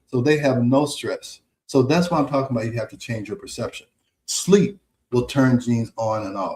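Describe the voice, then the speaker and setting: With an American accent, this man has a medium pitch, a dark, mellow tone, a somewhat breathy quality and lively intonation. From United States. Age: 60s. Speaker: physician and health radio host. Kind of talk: radio health talk. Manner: conversational, repetitive fillers.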